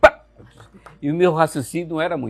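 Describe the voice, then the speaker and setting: A man speaks at a moderate pace. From Santa Catarina midwest, Brazil (Joaçaba). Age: 60s. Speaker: writer and journalist. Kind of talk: interview. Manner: hesitant, many fillers.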